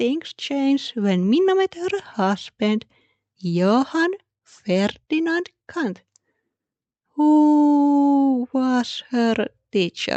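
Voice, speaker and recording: A woman speaks with a non-native accent in a high pitch. Her pace is very slow, with very wide pitch swings. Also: dry, close sound with no echo. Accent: non-native accent, self-noted. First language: Finnish. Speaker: podcast host. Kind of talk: history podcast narration.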